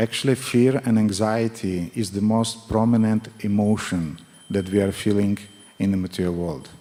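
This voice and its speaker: A man with a strong non-native accent, fairly low-pitched, at a moderate pace with fairly even intonation. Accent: thick foreign. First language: not English. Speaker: spiritual teacher. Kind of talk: religious class with consecutive interpretation. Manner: halting.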